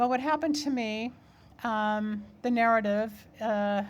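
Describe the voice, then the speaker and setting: On a very clean recording with a silent background, a woman speaks in a fairly high, somewhat breathy voice. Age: 70s. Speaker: keynote speaker. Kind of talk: keynote speech. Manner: halting, frequent repetitions.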